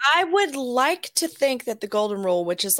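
Spoken at a fairly quick pace with a Southern US accent, the voice sounds dry and close with no echo, in a very clean recording over a silent background. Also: woman. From Alabama. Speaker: podcast guest, film commentator. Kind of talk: casual chat. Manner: animated.

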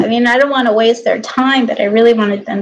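With an unremarkable speaking voice, this woman keeps a fairly high pitch and ordinary pitch variation. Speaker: aspiring professional dancer and fitness instructor. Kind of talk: casual solo vlog monologue. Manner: rambling, many fillers.

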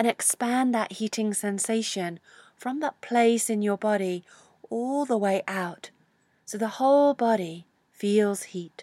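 In a soothing, calm tone, a woman with a fairly high voice speaks very slowly with ordinary pitch variation, the recording very clean and silent behind her, dry and close with no echo. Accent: British. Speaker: yoga teacher. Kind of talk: guided meditation. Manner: slow, soothing, calm; gentle, with long pauses.

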